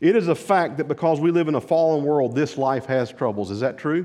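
This is a normal speaking voice at a moderate pace. The background is quiet. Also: man. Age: 50s. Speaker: pastor. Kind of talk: sermon.

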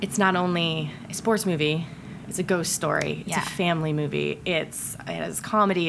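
With an American accent, a woman uses an ordinary speaking voice, fairly low in pitch, at a moderate pace with fairly even intonation. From US Midwest, Ohio. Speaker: film director. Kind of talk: casual chat.

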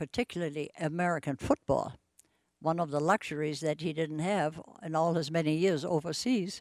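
In a very clean recording with a silent background, a woman with a German accent speaks at a moderate pace in a fairly low voice with ordinary pitch variation, the sound dry and close with no echo. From Germany, Bremen. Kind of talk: testimony.

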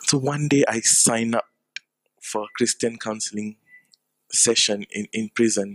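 In a dry, close sound with no echo, a man speaks at a medium pitch with monotone, flat intonation. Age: 20s. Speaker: preacher. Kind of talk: sermon.

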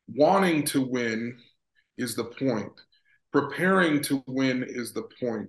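This is a plain, everyday voice with an American accent. The pace is fairly slow, and the intonation is lively. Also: man. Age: 40s. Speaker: sports psychologist. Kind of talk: casual chat.

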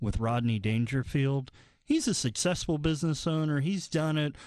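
A man with an unremarkable speaking voice talks at a moderate pace and fairly high pitch. His intonation is lively, and the background is quiet. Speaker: financial planner, co-host. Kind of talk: radio talk show, conversational.

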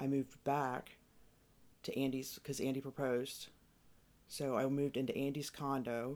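With an American accent, a woman speaks at a very deep, low pitch in a flat monotone, at a moderate pace with very even loudness and long, frequent pauses. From US Midwest, Cincinnati area. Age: 30s. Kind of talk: casual chat.

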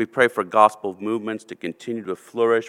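A man speaks with a fairly low pitch. The recording is very clean, with a silent background and a dry, close sound with no echo. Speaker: church member leading prayer. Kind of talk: congregational prayer. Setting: church. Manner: halting, with frequent fillers.

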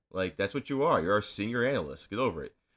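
A bright, sharp, animated voice with vocal fry, on a very clean recording with a silent background. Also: man. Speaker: comedy podcast host. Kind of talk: satirical comedic banter. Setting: studio. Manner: animated, profane.

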